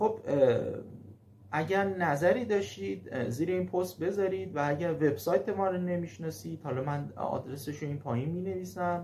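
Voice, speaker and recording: A man with a fairly high pitch talks at a moderate pace, his pitch swinging very widely, with audible room echo. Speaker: German language teacher. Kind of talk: casual video talk. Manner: halting, frequent fillers.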